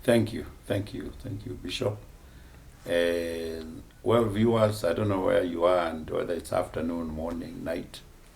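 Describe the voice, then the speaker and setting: Audible room echo carries a man's somewhat breathy voice and lively intonation. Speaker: bishop. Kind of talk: testimony.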